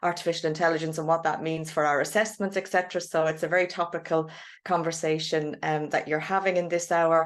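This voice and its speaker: In an Irish accent, a woman with a fairly low voice talks at a very fast pace in a monotone, flat intonation. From Ireland. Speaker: chemistry professor. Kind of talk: panel self-introduction.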